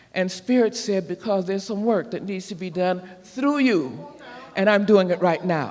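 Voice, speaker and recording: Over noticeable background noise, a man talks at a moderate pace in a high pitch with ordinary pitch variation. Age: 80s+. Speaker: minister. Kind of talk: sermon.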